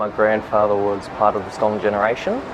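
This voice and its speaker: Fairly quick speech from a man with a fairly low pitch, noticeable background noise behind it. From Western Australia, Perth area. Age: 20s. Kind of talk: interview testimony.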